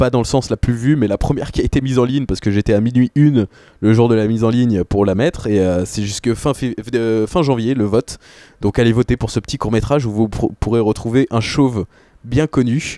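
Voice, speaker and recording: Recorded dry and close with no echo, a man talks at a fairly quick pace in a dark, mellow tone, with ordinary pitch variation and very even loudness. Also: medium pitch for a man. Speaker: film podcaster and short filmmaker. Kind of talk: casual debate.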